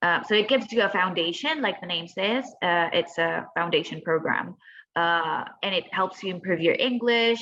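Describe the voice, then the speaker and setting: A woman with a Spanish accent speaks at medium pitch and a fairly slow pace, with ordinary pitch variation. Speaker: former student. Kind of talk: webinar Q and A.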